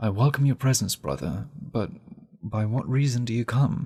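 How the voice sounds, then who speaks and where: A man with a British accent speaks at a moderate pace and medium pitch. His intonation is lively, and there is vocal fry in his voice. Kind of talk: audiobook reading.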